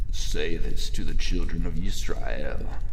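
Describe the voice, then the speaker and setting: Over loud background noise, a man talks at a fairly slow pace in a put-on character voice. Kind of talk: biblical scripture drama. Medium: audio drama. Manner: solemn, authoritative, commanding.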